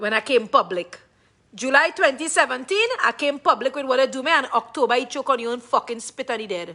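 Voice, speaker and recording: A woman with a high-pitched, raised and projected voice speaks at a fairly quick pace with lively intonation. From Trinidad and Tobago. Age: 40s. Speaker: live-stream vlogger. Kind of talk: emotional livestream rant. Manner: loud; animated.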